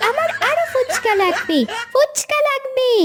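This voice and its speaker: Through loud background noise comes a woman's squeaky, cartoonish character voice at an extremely high pitch. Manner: demanding, whiny.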